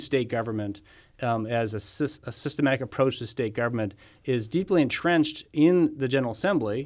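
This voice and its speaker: A man with an American accent and an ordinary speaking voice talks fairly quickly. His pitch is medium and his intonation lively. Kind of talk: casual political interview. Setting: studio.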